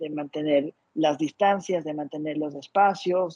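Sounding dry and close with no echo, a man talks at a fairly slow pace with ordinary pitch variation. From Ecuador. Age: 30s. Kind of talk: interview.

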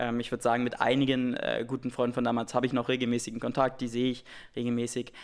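A man speaks at a very fast pace. His medium-pitched voice is monotone and flat. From Saxony-Anhalt, eastern Germany (Wittenberg). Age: 20s. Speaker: startup founder. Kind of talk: interview.

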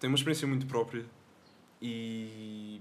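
A man is speaking at medium pitch. His intonation stays fairly even. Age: 20s. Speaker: young musician. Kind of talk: casual chat. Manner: serious.

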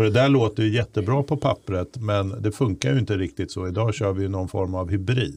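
Somewhat breathy and fairly low-pitched, a man talks at a fairly quick pace with ordinary pitch variation and hardly any pauses. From Stockholm, Bromma. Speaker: podcast host. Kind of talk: casual political chat.

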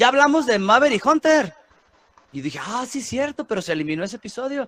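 Talking at a very fast pace and an extremely high pitch, a man with a Mexican accent is heard in a dry, close sound with no echo. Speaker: podcast host. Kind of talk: casual chat. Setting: studio.

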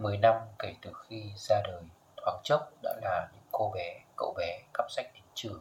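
This man's volume rises and falls in big swings. He talks fairly slowly. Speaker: podcast host. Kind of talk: reflective solo podcast monologue.

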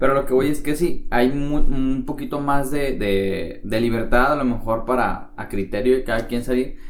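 A man with a medium pitch speaks at a moderate pace with hardly any pauses and ordinary pitch variation. Both noticeable background noise and audible room echo can be heard. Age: 20s. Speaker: podcast co-host. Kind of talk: casual chat.

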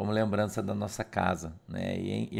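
A man's fairly low pitch with vocal fry, on a very clean recording with a silent background. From Curitiba, southern Brazil. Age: 50s. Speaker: pastor. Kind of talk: casual devotional livestream talk. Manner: halting, repeats words.

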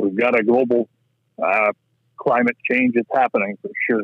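A man with a medium pitch and an Ontario accent speaks with fairly even intonation. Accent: Canadian (Ontario). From southwestern Ontario, Canada. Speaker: rink builder, farmer. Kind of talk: casual interview chat.

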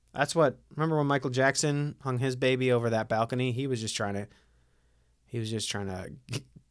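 A man speaks at a fairly quick pace with a Midwestern American accent. His medium pitch has ordinary variation on a very clean recording with a silent background. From Ohio, US Midwest. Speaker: podcast host. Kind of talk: casual chat.

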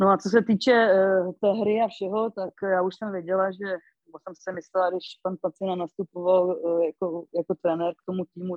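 A woman speaks at a moderate pace and medium pitch. Her intonation stays monotone and flat. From Moravia, Karviná region. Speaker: former ice hockey player. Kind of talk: interview.

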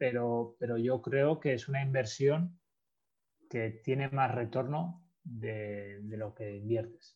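At a very slow pace, a man talks with a somewhat breathy voice. His pitch is medium with ordinary variation. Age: 30s. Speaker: sports psychologist. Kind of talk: interview.

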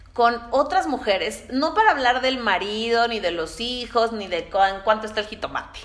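Speaking at a moderate pace, a woman uses lively intonation at a fairly high pitch. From Mexico City. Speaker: podcast host, entrepreneur. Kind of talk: solo podcast monologue.

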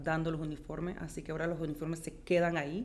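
A woman speaks with very deep, low pitch. There is audible room echo. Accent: slight Colombian. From born in Philadelphia, Colombian and Peruvian parents. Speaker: auxiliary nurse. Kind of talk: interview. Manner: halting, repeats words.

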